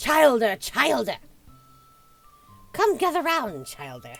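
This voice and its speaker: With faint music in the background, the speaker uses a put-on character voice at a fairly high pitch and a fairly slow pace. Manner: cackling, beckoning.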